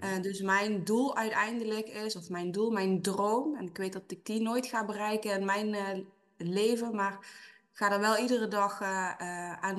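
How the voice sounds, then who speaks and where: The woman's pitch is medium and her intonation monotone and flat. She talks at a fairly slow pace. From Dutch Limburg. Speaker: HR consultant. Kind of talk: interview.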